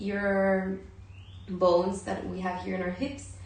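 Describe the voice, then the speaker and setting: Speaking very slowly with a Spanish accent, a woman is heard over noticeable background noise. Room echo is audible too. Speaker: yoga and meditation teacher. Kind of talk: guided yoga and breathing instruction. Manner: halting.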